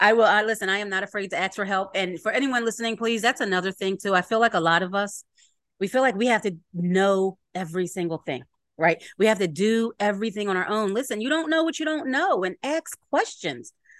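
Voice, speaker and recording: A woman with a Philadelphia accent, medium pitch, lively intonation and a fairly quick pace, in a dry, close sound with no echo. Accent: Philadelphia American English. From Philadelphia, US. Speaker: podcast host. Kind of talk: casual interview chat.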